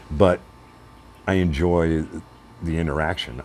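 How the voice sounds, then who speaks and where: A man talks very slowly in a very deep, low pitch, with noticeable background noise behind him. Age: 60s. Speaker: radio morning show host and motovlogger. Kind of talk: casual vlog monologue.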